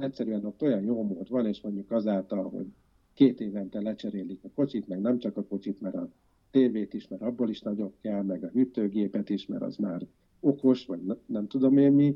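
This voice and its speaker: Here is an unremarkable speaking voice from a man with fairly low pitch. He talks at a moderate pace with ordinary pitch variation. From Győr, north-western Hungary. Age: 40s. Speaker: environmentalist and architect. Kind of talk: interview conversation.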